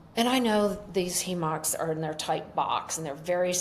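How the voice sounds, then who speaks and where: An American accent at a fairly slow pace, with audible room echo and noticeable background noise. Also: woman. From US Midwest (Michigan and Ohio). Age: 60s. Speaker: entrepreneur and illness survivor. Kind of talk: interview, personal testimony. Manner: animated.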